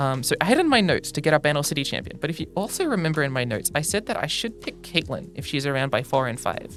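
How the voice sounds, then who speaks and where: A woman with a very deep, low pitch speaks with lively intonation. Music plays in the background. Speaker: card game content creator. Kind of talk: casual commentary to camera, podcast-like. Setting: studio.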